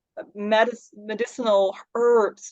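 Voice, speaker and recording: Speaking with a Dutch accent, a woman uses a fairly high pitch. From Netherlands. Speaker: psychic medium and spiritual mentor. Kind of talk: interview. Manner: halting.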